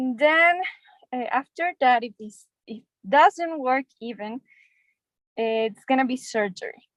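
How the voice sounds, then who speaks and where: Speaking very slowly with long, frequent pauses, a woman with a Spanish accent uses a high pitch, lively intonation and big swings in loudness. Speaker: doctor in English class. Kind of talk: English practice conversation. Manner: halting.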